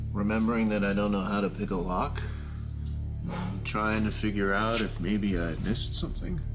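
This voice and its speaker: At a moderate pace, the speaker talks while clear music plays behind. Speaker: drama actor. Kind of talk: scripted drama dialogue. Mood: sarcastic, joking. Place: studio.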